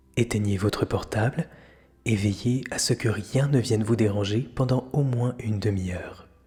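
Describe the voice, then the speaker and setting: Music plays in the background as a man speaks at medium pitch, fairly slowly, with fairly even intonation. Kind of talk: guided meditation. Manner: whispered, slow, soothing.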